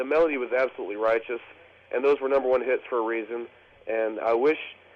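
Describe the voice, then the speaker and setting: His pitch is medium with ordinary variation. The man has a plain, everyday voice. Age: young. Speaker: radio co-host. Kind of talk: casual chat.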